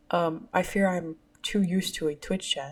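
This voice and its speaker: In a very clean recording with a silent background, a woman speaks at a medium pitch with a somewhat breathy quality. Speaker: podcast host. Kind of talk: casual monologue. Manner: hesitant with many fillers.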